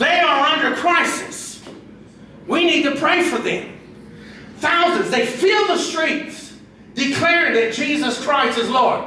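Projecting a raised voice, a man speaks fairly slowly in an animated, warm tone, with audible room echo and light background noise. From Brazil. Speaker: pastor. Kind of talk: sermon. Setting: church with congregation. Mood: emotional moment. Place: hall.

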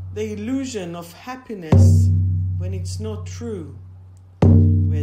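Music plays in the background while a woman speaks. Her pitch is very deep and low, and her pace is very slow. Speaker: meditation guide. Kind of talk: guided meditation.

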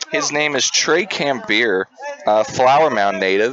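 Noticeable background noise fills the clip. A man speaks at a medium pitch. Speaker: lacrosse color commentator. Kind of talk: live commentary. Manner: animated.

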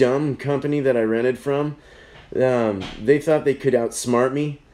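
Pitch moves in an ordinary way while the speech keeps a moderate pace. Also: man. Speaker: beer review livestream host. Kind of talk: casual livestream chat. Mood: annoyed, joking complaint. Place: home room. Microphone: phone near.

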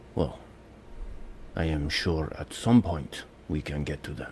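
A man does a put-on character voice at a fairly slow pace, with music in the background. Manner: stern, menacing, authoritative.

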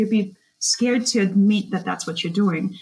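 A woman with a Russian accent and medium pitch talks at a moderate pace, somewhat breathy, with ordinary pitch variation. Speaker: social media strategist. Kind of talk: podcast interview.

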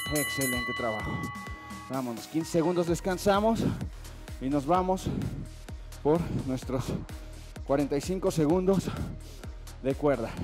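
Clear music plays in the background as a man speaks. He goes at a fairly slow pace with long, frequent pauses. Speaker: fitness instructor. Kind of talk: workout coaching cues. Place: gym.

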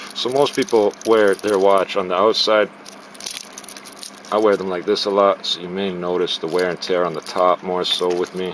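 At a moderate pace, the voice carries a fairly bright tone and ordinary pitch variation over faint background noise. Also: man.

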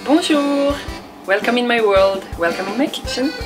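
With clear music in the background, a woman talks at a moderate pace with a French accent. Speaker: home cook. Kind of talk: cooking show talk to camera. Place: kitchen. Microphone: camera far.

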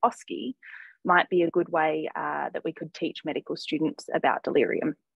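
At a moderate pace, a woman with an Australian accent speaks in dry sound with no echo against a quiet background. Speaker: geriatric medicine fellow. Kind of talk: academic presentation; journal club presentation. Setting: video call. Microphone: video call.

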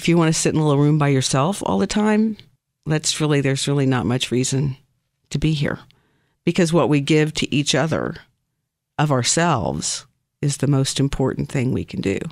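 In a very clean recording with a silent background, a woman with an American accent and a very deep, low pitch talks at a fairly quick pace with long, frequent pauses, very even loudness and ordinary pitch variation. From US Midwest, southern Missouri (Ozarks). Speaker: office worker interviewed as guest. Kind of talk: interview. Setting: studio.

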